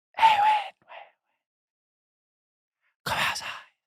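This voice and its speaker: Extremely high in pitch, the voice is a put-on character. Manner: eerie, beckoning.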